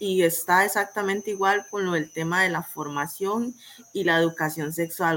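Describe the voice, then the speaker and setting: A woman with a plain, everyday voice speaks at a fairly slow pace, medium in pitch and fairly even in intonation. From Costa Rica, Limón province. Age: 20s. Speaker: student. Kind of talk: panel discussion.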